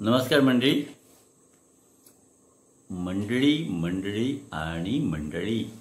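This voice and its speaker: With audible room echo, a man speaks at a fairly low pitch that swings very widely. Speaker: dubbing artist introducing herself. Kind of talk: talk show host conversation. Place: home room. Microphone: phone near.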